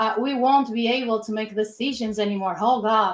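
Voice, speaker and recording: A woman speaks with a Portuguese accent at a fairly slow pace. Her pitch is fairly high. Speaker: design system lead at a retail company. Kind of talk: webinar presentation. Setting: online webinar. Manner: halting, with repetitions.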